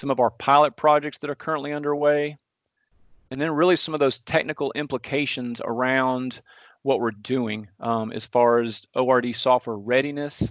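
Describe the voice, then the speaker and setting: A man with a strong Southern US accent, moderate pace and fairly even intonation. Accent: deep Southern twang. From US South. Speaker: transportation engineer. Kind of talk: technical presentation.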